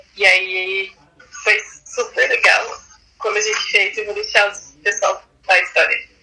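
Over music in the background, a woman speaks at a fairly slow pace with big swings in loudness. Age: 20s. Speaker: club member. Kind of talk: casual chat.

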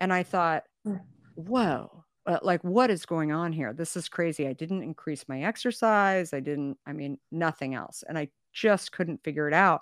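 A woman with an American accent and an unremarkable speaking voice, fairly low in pitch, with lively intonation at a fairly slow pace, in a very clean recording with a silent background and a dry, close sound with no echo. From Arizona. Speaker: company founder and CEO. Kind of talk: interview storytelling.

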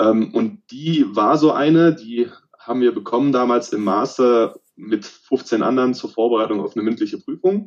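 An unremarkable speaking voice from a man, medium in pitch and moderate in pace. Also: lively intonation. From southern Germany, Remstal east of Stuttgart (Swabia). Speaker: sports scientist and lecturer. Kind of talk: interview.

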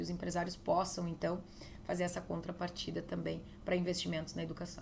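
A woman speaks at a medium pitch and a fairly quick pace. Room echo is audible. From southern Brazil, interior of Rio Grande do Sul (Getúlio Vargas). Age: 40s. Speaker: state legislator and former police chief. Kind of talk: interview. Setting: politician's office.

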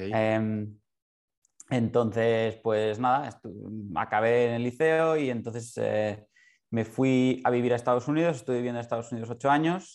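This is a man with a plain, everyday voice at medium pitch and a moderate pace. His pitch variation is ordinary, against a quiet background. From Barcelona, Spain. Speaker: concert pianist. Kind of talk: interview.

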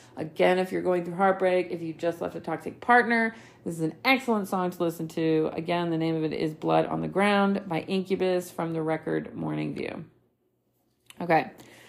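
A woman speaks in a plain, everyday voice at a fairly low pitch, with ordinary pitch variation. Her pace is moderate, and the recording is very clean with a silent background. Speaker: podcast host. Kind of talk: solo podcast monologue.

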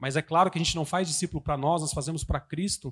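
The sound is close and dry, without any echo. It is a man talking. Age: 30s. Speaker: preacher. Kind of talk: sermon.

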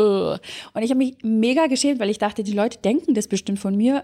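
At a very fast pace, a woman speaks in a dark, mellow tone. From Germany. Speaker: life coach. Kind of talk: coaching talk. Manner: animated.

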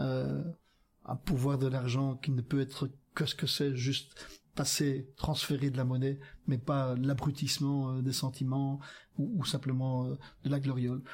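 A man's somewhat breathy, monotone voice with flat intonation, fairly slow pace, long and frequent pauses, and very even loudness, on a very clean recording with a silent background. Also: medium pitch for a man. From Flanders, Belgium. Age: 60s. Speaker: politician. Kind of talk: casual chat. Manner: halting.

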